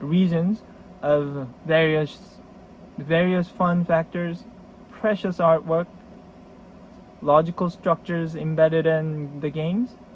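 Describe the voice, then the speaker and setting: A man speaks at a very slow pace, with long, frequent pauses. His pitch sits fairly high and his intonation stays fairly even. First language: Korean. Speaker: board game collector. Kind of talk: casual video introduction. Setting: storage room. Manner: halting.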